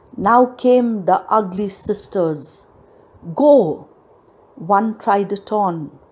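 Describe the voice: Just plain reading aloud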